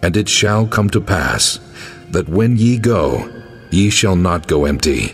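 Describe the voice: A put-on character voice at a slow pace with lively intonation, faint music in the background. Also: man, low pitch for a man.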